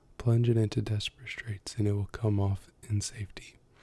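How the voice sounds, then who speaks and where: A soft-spoken man's voice, fairly low in pitch, dark and mellow, monotone and flat, at a moderate pace. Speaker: ASMR youtuber. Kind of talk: reading aloud; casual chat. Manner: loud at times.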